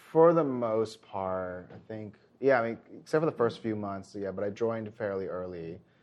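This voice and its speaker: A man with an American accent speaks in a normal speaking voice at a moderate pace, his pitch fairly low with ordinary variation. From United States. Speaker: improv theater director. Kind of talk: interview.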